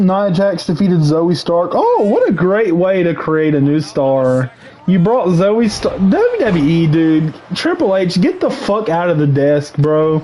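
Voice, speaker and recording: A man shouts at a very slow pace in a high pitch, with ordinary pitch variation and very even loudness. Background noise is noticeable. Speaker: gaming livestreamer and wrestling commentator. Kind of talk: casual livestream rant. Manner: loud, yelling; animated, repetitive stammering.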